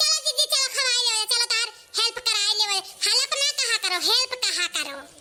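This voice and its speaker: In a cartoonish character voice, a woman speaks squeaky and at an extremely high pitch, at a moderate pace and very even loudness. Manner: teasing, lively.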